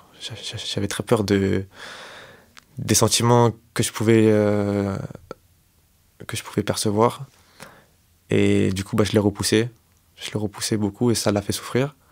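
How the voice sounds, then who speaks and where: A man speaks at a very slow pace and fairly low pitch. His intonation is monotone and flat. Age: 20s. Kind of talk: interview answer. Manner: slow, hesitant.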